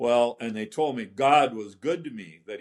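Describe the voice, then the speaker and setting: A man with an Upper Midwest accent speaks at a medium pitch. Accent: Upper Midwest American. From central Minnesota. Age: 80s+. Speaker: polio survivor. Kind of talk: testimony.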